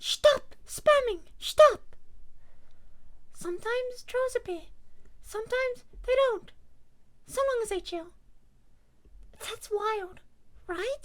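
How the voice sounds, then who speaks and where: A woman puts on a squeaky character voice at an extremely high pitch. She talks at a fairly slow pace with long, frequent pauses. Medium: virtual streamer. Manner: playful, cheeky.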